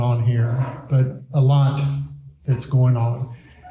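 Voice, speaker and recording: Amid audible room echo, a man with a Texan accent speaks at a fairly slow pace with fairly even intonation. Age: 60s. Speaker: school superintendent. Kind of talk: public presentation. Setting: town hall meeting with audience. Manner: blunt, plain-spoken.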